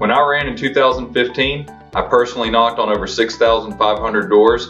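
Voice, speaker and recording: Faint music plays behind a man speaking at a fairly quick pace and medium pitch, his intonation fairly even. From Memphis, Tennessee. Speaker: attorney and political candidate. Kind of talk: political campaign announcement. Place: home room. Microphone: camera far.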